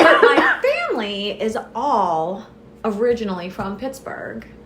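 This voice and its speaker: A woman's medium-pitched voice with lively intonation, audible room echo and noticeable background noise. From US South, southwest Florida. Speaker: business founder. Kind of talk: podcast interview.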